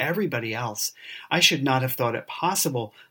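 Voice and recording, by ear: Natural-sounding reading aloud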